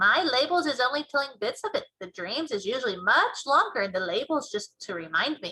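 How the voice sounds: Using a put-on character voice, a woman speaks with a bright, sharp tone, a slightly husky edge, fairly high pitch, big pitch swings and a fairly quick pace.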